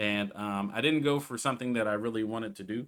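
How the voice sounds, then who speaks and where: On a very clean recording with a silent background, a man with a fairly low pitch and ordinary pitch variation talks at a fairly quick pace. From Southern California. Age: 30s. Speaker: gaming YouTuber. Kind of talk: casual vlog talk. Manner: casual, with many fillers.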